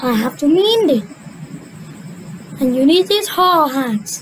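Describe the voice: A cartoonish character voice that sounds female comes at a fairly slow pace, high in pitch with very wide pitch swings. Clear background noise is present.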